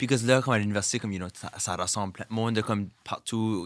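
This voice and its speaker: Very fast, animated delivery from a man at medium pitch, on a very clean recording with a silent background. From Dieppe, New Brunswick (Acadian, southeast). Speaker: drag queen and content creator. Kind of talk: interview. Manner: animated, mixing French and English.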